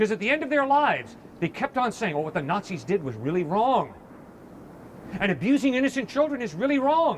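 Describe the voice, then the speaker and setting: Loud and fairly quick, a man with an American accent talks at an extremely high pitch with very wide pitch swings. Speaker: campus evangelist. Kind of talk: heated debate.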